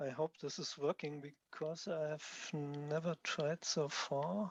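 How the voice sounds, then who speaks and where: A man's fairly high voice at a very slow pace, with fairly even intonation, over a quiet background. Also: dry, close sound with no echo. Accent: strong German. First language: German. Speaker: software developer presenting his tool. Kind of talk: technical presentation.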